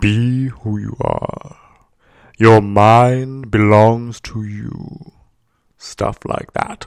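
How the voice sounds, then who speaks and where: A man's put-on character voice at medium pitch, dramatic in tone and delivered at a very slow pace. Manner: majestic, dramatic.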